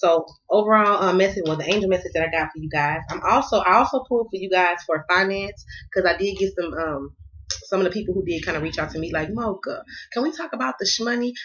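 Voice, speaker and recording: Speaking very fast with an American accent, a woman uses lively intonation at a medium pitch. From US South. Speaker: tarot card reader. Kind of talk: tarot reading. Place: home room. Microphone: phone near.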